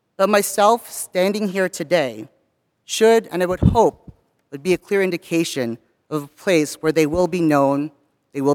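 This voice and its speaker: A man speaks with an American accent at a high pitch and a moderate pace. The recording is very clean, dry and close, with no echo and a silent background. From US, not Southern California. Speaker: university staff member. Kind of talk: chapel talk. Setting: chapel.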